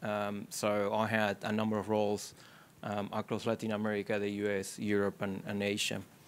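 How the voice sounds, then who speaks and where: In a very clean recording with a silent background, a man with an Argentine accent speaks at a fairly low pitch, with very even loudness and monotone, flat intonation. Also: moderate pace. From Argentina. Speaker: technology executive. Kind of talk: panel discussion. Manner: halting, many fillers.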